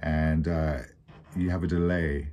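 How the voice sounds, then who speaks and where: Light background noise behind a male speaker. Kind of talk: tutorial. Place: office.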